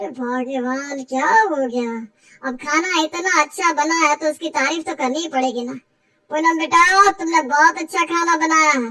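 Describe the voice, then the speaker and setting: In a cartoonish character voice, a woman talks at a high pitch and a moderate pace. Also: ordinary pitch variation. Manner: playful, teasing.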